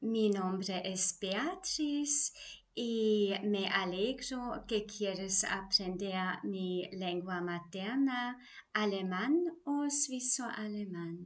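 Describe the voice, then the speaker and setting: Speaking at a very slow pace, a woman with a Swiss German accent uses lively intonation at a medium pitch. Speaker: German language teacher. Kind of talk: self-introduction video. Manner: scripted, careful delivery.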